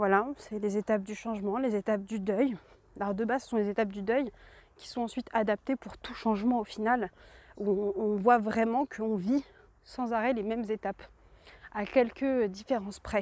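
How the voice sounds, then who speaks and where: A woman's fairly high-pitched voice at a moderate pace, with long, frequent pauses, on a very clean recording with a silent background. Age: 20s. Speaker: podcaster and entrepreneur. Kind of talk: personal monologue. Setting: outdoors, walking. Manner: halting.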